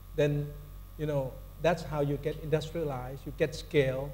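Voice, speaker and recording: A man's fairly high voice at a moderate pace, with audible room echo. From Thailand. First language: Thai. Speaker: corporate sustainability executive, panelist. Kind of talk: panel discussion. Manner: halting, many fillers and restarts.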